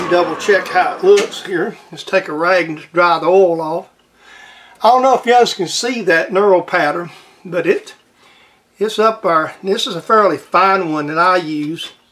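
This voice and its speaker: A Southern US accent at a moderate pace, with ordinary pitch variation and big swings in loudness. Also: man, high pitch for a man. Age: 60s. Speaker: home machinist. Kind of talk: tutorial. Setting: workshop. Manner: casual, halting.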